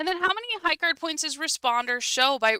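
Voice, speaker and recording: A woman speaks loudly at a moderate pace, her pitch swinging very widely and her tone bright and sharp. The sound is dry and close with no echo, on a very clean recording with a silent background. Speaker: bridge teacher. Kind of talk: tutorial.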